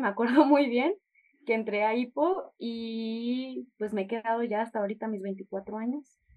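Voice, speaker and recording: With an ordinary speaking voice, a woman talks at a fairly slow pace and a fairly high pitch, with ordinary pitch variation. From Chihuahua, northern Mexico. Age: 20s. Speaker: language club member and intern. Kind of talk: interview.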